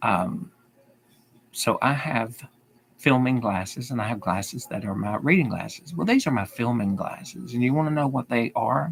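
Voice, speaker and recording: A man with a Southern accent at a medium pitch and moderate pace, with vocal fry and lively intonation. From US South. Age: 50s. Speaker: YouTuber. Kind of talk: livestream Q&A. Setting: live video stream. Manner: repeats sentences.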